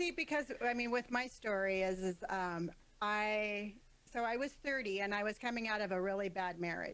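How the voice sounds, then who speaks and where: A woman with a Californian accent speaks at a fairly high pitch and a moderate pace, with ordinary pitch variation and very even loudness. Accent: Californian American English. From Southern California, San Diego area. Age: 50s. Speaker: tattooed professional, interviewee. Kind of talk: casual interview.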